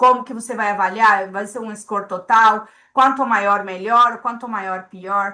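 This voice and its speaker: This woman's voice is fairly high, bright and sharp, with fairly even intonation. She speaks fairly slowly, and her loudness swings a lot. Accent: non-native. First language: not Portuguese (speaking Portuguese). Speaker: statistical consultant. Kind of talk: lecture. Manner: hesitant, repeats words.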